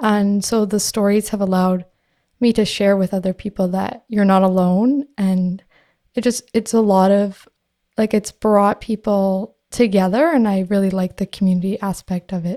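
In a dry, close sound with no echo, a woman with a dark, mellow tone talks at a moderate pace and medium pitch with fairly even intonation. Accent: Canadian. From Canada. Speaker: podcaster and concussion advocate. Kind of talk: interview. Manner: casual with filler words.

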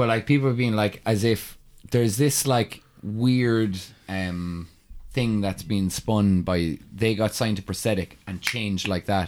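A fairly slow delivery in an Irish accent with ordinary pitch variation. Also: man, fairly low pitch for a man. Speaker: metal musician. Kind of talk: casual chat. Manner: animated.

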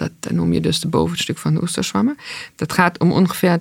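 A woman talks with vocal fry. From East Germany. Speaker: food entrepreneur. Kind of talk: interview.

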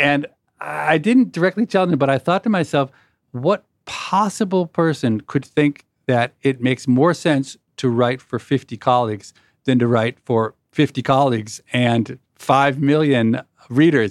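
A man at a fairly slow pace, with lively intonation, very even loudness and a dry, close sound free of echo. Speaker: podcast host and economics professor. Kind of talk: interview conversation.

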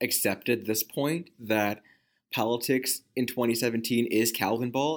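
Recorded very cleanly against a silent background, a man with a normal speaking voice talks at a medium pitch and a moderate pace. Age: 30s. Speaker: news editor and reporter. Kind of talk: casual chat.

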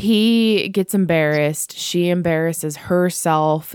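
A woman with a fairly low pitch and a Pittsburgh accent. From Pittsburgh, US. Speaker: podcast co-host. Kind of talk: casual chat. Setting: Skype call.

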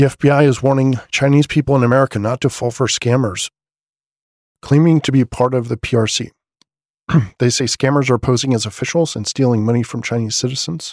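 The quiet voice comes at a fairly quick pace with fairly even intonation, in a very clean recording with a silent background and a dry, close sound with no echo. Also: man, medium pitch for a man. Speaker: podcast host. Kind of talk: news roundup podcast. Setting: at home late at night. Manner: quiet, subdued.

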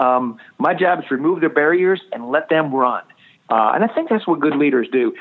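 A man with an unremarkable speaking voice talks at a moderate pace, his fairly high pitch showing ordinary variation. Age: 40s. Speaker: association executive. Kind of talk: interview.

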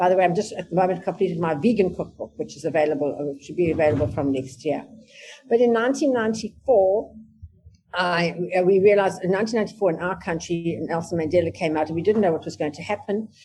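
A woman talks at a fairly quick pace with a fairly low pitch, a somewhat breathy, dark, mellow tone, ordinary pitch variation and big swings in loudness. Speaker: family business executive and trainer. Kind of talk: personal story in a virtual panel talk. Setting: video call.

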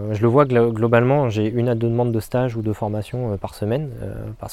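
This man's voice is dark and mellow with a medium pitch. He talks at a fairly quick pace in a monotone, flat intonation. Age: 30s. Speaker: landscape gardener. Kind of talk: interview. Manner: hesitant, many fillers.

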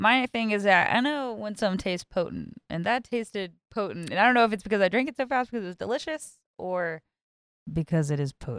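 A woman's lively, fairly quick speech at medium pitch with a Texan accent. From Texas. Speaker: podcast co-host. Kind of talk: casual chat. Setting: studio.

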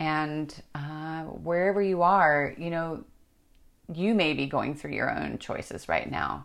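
The speech is delivered at a very slow pace by a woman. Her words carry audible room echo. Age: 50s. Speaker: podcast host. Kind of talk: scripted narration; interview.

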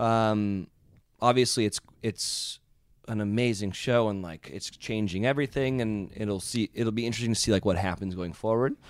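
In a normal speaking voice, a man with a fairly low pitch talks at a moderate pace. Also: ordinary pitch variation. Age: 30s. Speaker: reality TV personality. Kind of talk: casual chat. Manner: joking, playful.

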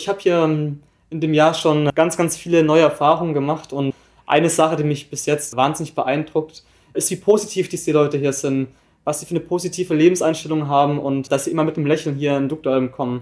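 This is an unremarkable speaking voice at a fairly quick pace. Its intonation stays fairly even. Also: man, fairly high pitch for a man. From southern Germany, near Freiburg im Breisgau. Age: young. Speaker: volunteer at a seamen's club. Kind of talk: interview. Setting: recorded on site in a club.

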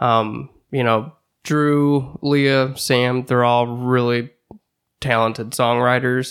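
In a St. Louis accent, a man speaks very slowly at a medium pitch, his intonation monotone and flat and his loudness very even. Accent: Midwestern American (St. Louis). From St. Louis area, Missouri. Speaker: musician. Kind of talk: casual chat.

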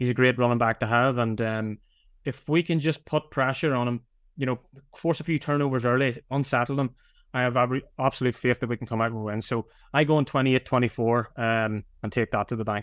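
A man with an Irish accent, fairly even intonation and a fairly quick pace, quiet background. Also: medium pitch for a man. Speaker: podcast co-host. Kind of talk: casual chat.

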